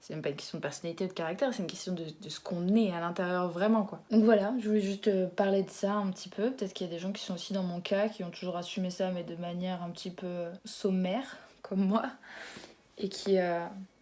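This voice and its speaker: A woman talks very fast at a medium pitch with fairly even intonation. Her loudness swings widely. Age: 20s. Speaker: YouTuber. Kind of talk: casual vlog chat. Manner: hesitant, with fillers.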